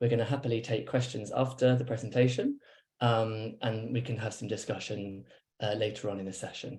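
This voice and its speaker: A somewhat breathy man with a British accent, medium in pitch, monotone and flat, at a fairly quick pace. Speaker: academic researcher. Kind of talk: webinar presentation. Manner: fast.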